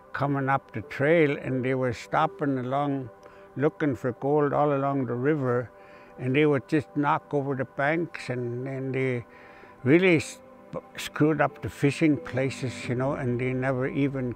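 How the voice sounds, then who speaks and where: Faint music plays in the background as a man speaks at a fairly slow pace with fairly even intonation, in a dry sound without echo. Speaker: heritage guide. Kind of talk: interview answer. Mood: calm, reflective, somewhat sad. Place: open country. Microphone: lapel.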